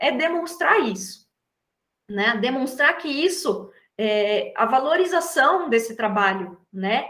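A woman's high, bright and sharp voice with very wide pitch swings, at a very slow pace, amid audible room echo. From São Paulo state, Brazil (Atibaia). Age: 30s. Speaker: embroidery artisan. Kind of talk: interview.

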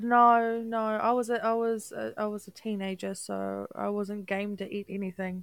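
A woman in a New Zealand accent, medium pitch, monotone and flat intonation, moderate pace, and hardly any pauses. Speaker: podcast co-host. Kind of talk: casual chat.

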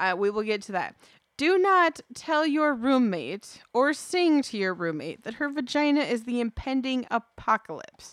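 At a fairly slow pace, a woman speaks in a high voice with very wide pitch swings, the sound dry and close with no echo. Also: very clean recording, silent background. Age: 30s. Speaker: podcast co-host. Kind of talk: casual chat.

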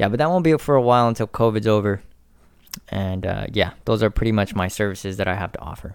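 A fairly low-pitched man rushes along at a very fast pace, his pitch varying in an ordinary way. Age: 20s. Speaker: military veteran. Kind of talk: casual chat. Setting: in person at host's house.

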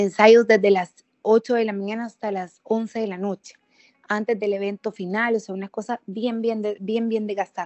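This woman's voice sits fairly high, moving at a moderate pace with monotone, flat intonation. Her loudness swings widely. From El Salvador, Sonsonate. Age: 30s. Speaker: politician, lawyer and former TV presenter. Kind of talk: podcast interview.

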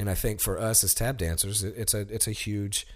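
A man's somewhat breathy, fairly low voice with an American accent, at a fairly quick pace. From US South, Alabama (Sheffield). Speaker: tap dancer. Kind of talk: casual chat.

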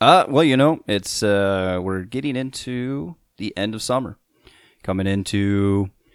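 A man with a normal speaking voice talks at a fairly slow pace in a fairly low pitch, with ordinary pitch variation, on a very clean recording with a silent background. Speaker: podcast co-host, topic master. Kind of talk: casual banter chat.

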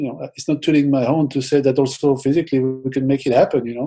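Speaking with a French accent, a man talks at a fairly quick pace, his fairly high pitch carrying a dark, mellow tone. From France. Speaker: football fitness coach. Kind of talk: interview.

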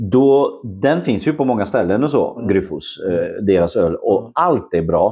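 This is a man speaking with a Polish accent. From Poland, Szczecin. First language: Polish (speaking Swedish). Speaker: homebrewer and photographer. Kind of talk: casual chat. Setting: at his home.

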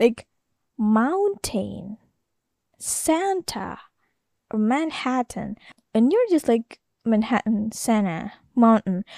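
Speaking at a very slow pace with long, frequent pauses, a woman with an Indonesian accent has a fairly high pitch, a dark, mellow tone and lively intonation, heard in a dry, close sound with no echo. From Jakarta, Indonesia. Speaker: podcast host. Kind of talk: casual solo monologue. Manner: rambling, halting, candid.

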